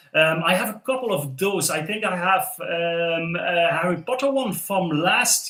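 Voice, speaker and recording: A man speaks with a slight Dutch accent. His pitch is high for a man. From southern Netherlands. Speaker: LEGO content creator. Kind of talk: live stream chat while building. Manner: casual with many fillers.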